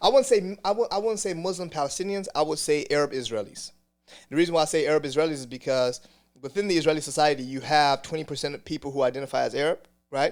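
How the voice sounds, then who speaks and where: Very fast male speech, fairly high in pitch, with ordinary pitch variation. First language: Hebrew. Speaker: community spokesperson. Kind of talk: podcast interview. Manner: halting, many repetitions.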